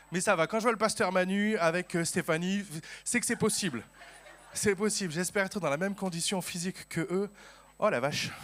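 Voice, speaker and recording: Speaking at a high pitch and fairly quick pace, a man uses ordinary pitch variation and leaves long, frequent pauses. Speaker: pastor. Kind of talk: sermon. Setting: church.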